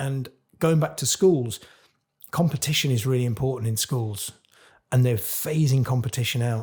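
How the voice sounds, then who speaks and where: A man at medium pitch and moderate pace sounds somewhat breathy, with ordinary pitch variation and long, frequent pauses. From Cornwall, England. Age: 40s. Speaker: chef. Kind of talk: podcast interview. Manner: animated.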